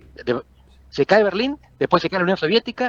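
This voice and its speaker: A man speaks at a very fast pace with lively intonation, his voice sounding dry and close with no echo. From Argentina. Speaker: political scientist. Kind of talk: interview.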